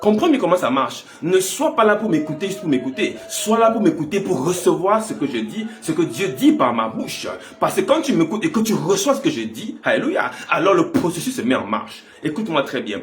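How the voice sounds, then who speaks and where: A man's high-pitched voice with very wide pitch swings, a moderate pace and hardly any pauses, amid audible room echo and music in the background. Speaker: pastor. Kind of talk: sermon.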